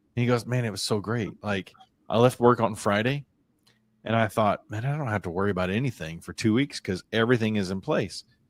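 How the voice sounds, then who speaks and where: A man speaks in a normal speaking voice, with ordinary pitch variation. The recording is very clean and dry, close with no echo, over a silent background. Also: fairly low pitch for a man, fairly quick pace. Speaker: business podcast co-host. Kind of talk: casual chat.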